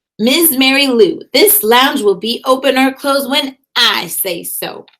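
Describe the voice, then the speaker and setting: In a put-on character voice, a woman talks at a fairly slow pace, gruff and high-pitched, with very wide pitch swings. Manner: firm, arguing loudly.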